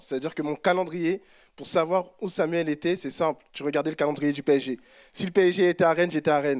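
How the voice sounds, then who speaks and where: On a very clean recording with a silent background, a man with an unremarkable speaking voice talks at a fairly quick pace in fairly even intonation, the sound dry and close with no echo. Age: 20s. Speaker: church member. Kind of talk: testimony.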